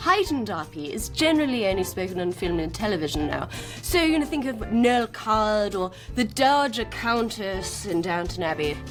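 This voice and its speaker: Music in the background behind a woman at medium pitch, very wide pitch swings and a moderate pace. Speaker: video host, presenter.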